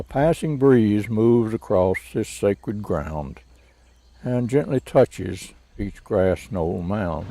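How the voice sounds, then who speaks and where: A man speaks very slowly in a fairly low pitch, his dark, mellow tone carried by lively intonation. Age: 80s+. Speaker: World War II veteran and poet. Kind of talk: poetry reading.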